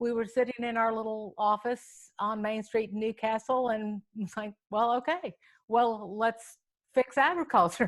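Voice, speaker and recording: A moderate pace and fairly even intonation in an American accent, on a very clean recording with a silent background. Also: woman. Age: 60s. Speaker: farm advocate, nonprofit director. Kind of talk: panel conversation. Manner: halting, many fillers.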